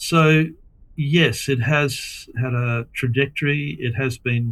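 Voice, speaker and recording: This man has an Australian accent. He speaks at a very slow pace. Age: 70s. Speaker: environmental philosopher. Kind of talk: interview. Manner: halting.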